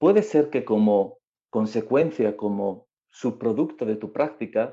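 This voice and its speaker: The man's voice has a dark, mellow tone over a quiet background. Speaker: yoga teacher. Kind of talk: casual interview.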